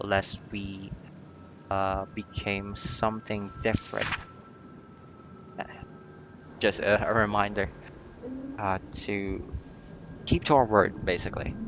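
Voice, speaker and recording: Music plays in the background as a man speaks at a very slow pace with long, frequent pauses. His fairly low pitch carries a monotone, flat intonation. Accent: non-native. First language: not English. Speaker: video game player. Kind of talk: casual gameplay commentary. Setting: home recording, poor mic.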